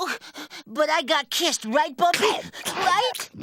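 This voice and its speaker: A cartoonish character voice, high-pitched and at a fairly slow pace. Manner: melodramatic, whiny.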